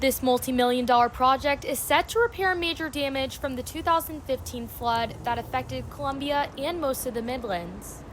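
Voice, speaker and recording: Over noticeable background noise, the voice runs on with hardly any pauses and ordinary pitch variation. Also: woman, high pitch for a woman, moderate pace. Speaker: student field reporter. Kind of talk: TV news field report. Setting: outdoors.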